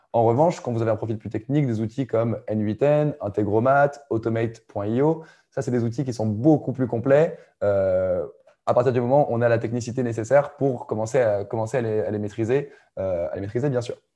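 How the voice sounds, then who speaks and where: Against a quiet background, a man with a dark, mellow tone speaks at medium pitch and a moderate pace with fairly even intonation. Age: 20s. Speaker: growth marketing coach. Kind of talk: casual interview.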